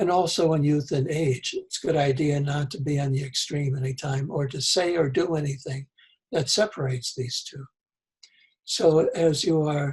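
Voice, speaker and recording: A somewhat breathy, fairly high-pitched male voice, fairly even in intonation, at a moderate pace. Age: 70s. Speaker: author and spiritual writer. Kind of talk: interview. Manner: halting.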